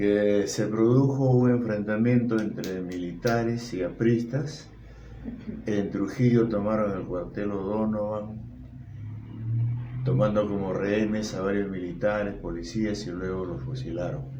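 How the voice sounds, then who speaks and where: At a fairly slow pace, a man with a fairly low pitch and ordinary pitch variation speaks in a room with audible echo. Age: 70s. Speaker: interviewee, grandfather. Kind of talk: interview.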